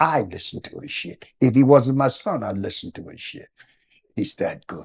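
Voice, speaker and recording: A man's medium-pitched voice with an American accent, vocal fry, lively intonation, big swings in loudness and a moderate pace. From New Jersey, US. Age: 70s. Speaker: former political activist, father of a famous rapper. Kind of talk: interview. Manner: rambling, conversational; animated.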